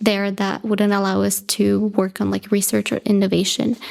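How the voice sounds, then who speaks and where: Recorded very cleanly against a silent background, a woman with a Spanish accent talks at a medium pitch in a monotone, flat delivery. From Bolivia (La Paz). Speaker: graduate student in aerospace engineering. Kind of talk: podcast interview.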